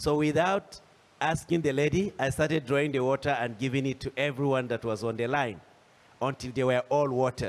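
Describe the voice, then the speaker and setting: A man talks with a Nigerian accent at a fairly quick pace. His pitch is fairly high, with ordinary variation. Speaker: panelist, agricultural entrepreneur. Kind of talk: panel discussion. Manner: halting, many fillers and restarts.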